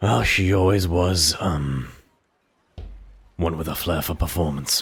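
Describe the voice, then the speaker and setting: In a put-on character voice, a man speaks very deep and low, raspy and fairly slow. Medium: actual play. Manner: measured, courteous.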